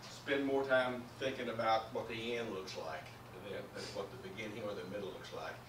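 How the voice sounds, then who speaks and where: A man speaks at a moderate pace, his voice carrying audible room echo over noticeable background noise. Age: 60s. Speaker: guest speaker, retired professor and salesman. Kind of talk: motivational talk.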